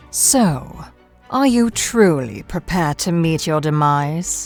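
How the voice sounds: Over faint background music, a woman uses a put-on character voice, low-pitched and slightly mellow, speaking slowly with lively intonation.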